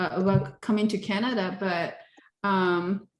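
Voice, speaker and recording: A woman speaks with a Taiwanese accent. Her pace is fairly slow. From southern Taiwan. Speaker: interviewee, engineer. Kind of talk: oral history interview. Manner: hesitant, many fillers.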